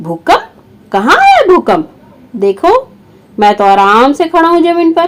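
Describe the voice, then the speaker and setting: Using a cartoonish character voice, a woman projects in a raised, extremely high pitch with very wide pitch swings, moving at a fairly slow pace with long, frequent pauses. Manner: calm, reasonable.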